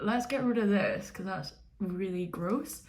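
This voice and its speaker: There is audible room echo around a bright, sharp, animated voice moving at a moderate pace. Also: woman. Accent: Edinburgh. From Scotland, Edinburgh. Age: 20s. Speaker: YouTuber, reality TV contestant. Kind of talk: casual vlog chat. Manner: loud, animated.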